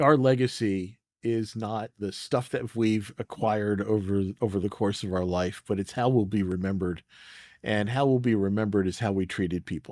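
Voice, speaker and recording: In a very clean recording with a silent background, a man with an American accent uses an unremarkable speaking voice, fairly low in pitch with ordinary variation, at a moderate pace. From United States. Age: 60s. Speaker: leadership coach and retired navy master chief. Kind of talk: podcast interview.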